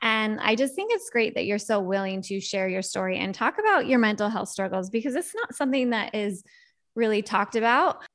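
Fairly quick in pace and fairly high in pitch, a woman speaks in a normal speaking voice with ordinary pitch variation, captured in a very clean recording with a silent background. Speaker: podcast host and parent. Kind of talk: casual interview.

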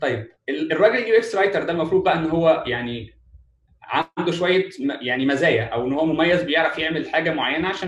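Pitched fairly high, a man talks with ordinary pitch variation. He speaks at a very fast pace. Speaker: UX writing specialist. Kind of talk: webinar talk.

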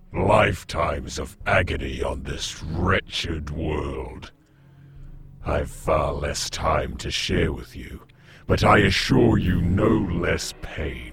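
In a put-on character voice, a man talks at a very slow pace with a raspy, very deep, low pitch. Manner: unhurried, menacing.

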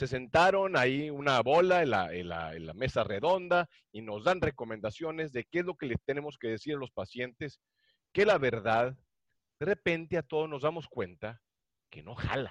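At a moderate pace, a man with a fairly high pitch swings very widely up and down, recorded dry and close with no echo against a quiet background. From Mexico, Monterrey. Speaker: podcast co-host and cardiologist. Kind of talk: casual chat.

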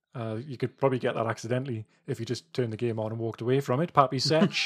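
The recording is very clean, with a silent background. It is an unremarkable speaking voice with ordinary pitch variation. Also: man. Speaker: podcast host. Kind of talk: casual chat.

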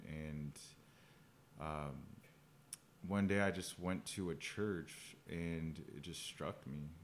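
Audible room echo surrounds a man with an American accent and a very deep, low pitch. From Phoenix, Arizona. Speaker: business owner, former homeless person. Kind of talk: interview testimony. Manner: halting.

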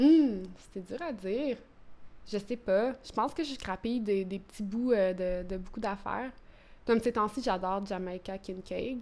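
At a fairly slow pace, a woman speaks at medium pitch in a dark, mellow tone, with ordinary pitch variation and big swings in loudness. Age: 30s. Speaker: poet. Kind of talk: interview. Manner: halting.

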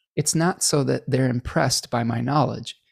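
A man with an American accent at medium pitch and a fairly quick pace, with vocal fry, ordinary pitch variation, and a dry, close sound with no echo. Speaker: astrologer hosting a live stream Q&A. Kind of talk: live stream Q&A chat. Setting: live stream with chat. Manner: relaxed, filler-heavy with frequent repetitions.

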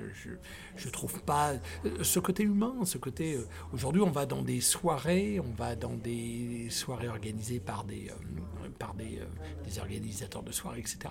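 The speaker talks at a fairly slow pace with vocal fry and very wide pitch swings, with audible room echo. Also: man, medium pitch for a man. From Ivory Coast. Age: 50s. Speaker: former radio host and DJ. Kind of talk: interview.

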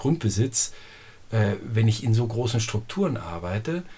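At a fairly slow pace, a man speaks in a medium-pitched voice. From Lower Saxony, northern Germany. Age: 50s. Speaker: organic farmer. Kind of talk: interview. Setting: at home, face to face. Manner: hesitant, many fillers.

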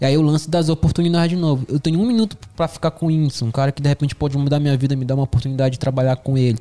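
A man with a dark, mellow, somewhat breathy tone and fairly high pitch talks at a very fast pace with ordinary pitch variation. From northern Brazil. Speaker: videomaker. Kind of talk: casual chat. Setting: studio.

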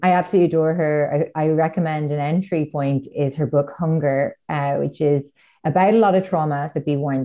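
A woman with a very deep, low voice speaks fairly quickly in an Irish accent, her intonation fairly even. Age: 30s. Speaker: author. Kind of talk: casual chat.

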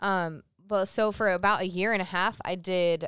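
On a very clean recording with a silent background and a dry, close sound with no echo, a woman speaks in a plain, everyday voice at medium pitch with fairly even intonation. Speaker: podcast co-host. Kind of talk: casual chat.

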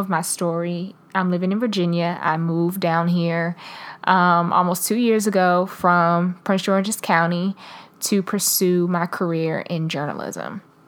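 A woman of medium pitch speaks at a fairly slow pace in a normal speaking voice, on a very clean recording with a silent background. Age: 20s. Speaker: devotional podcast host. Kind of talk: devotional talk. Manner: casual, with many fillers.

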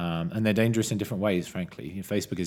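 With a British accent and fairly even intonation, a man is heard in a very clean recording over a silent background. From Britain. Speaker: tech podcast host and analyst. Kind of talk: casual discussion podcast.

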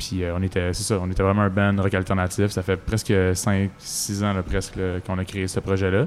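Music plays in the background as a man talks. His pitch is fairly low, and his pace is moderate. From Quebec, Laurentides. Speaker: singer-songwriter. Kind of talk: casual interview. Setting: outdoors in a park.

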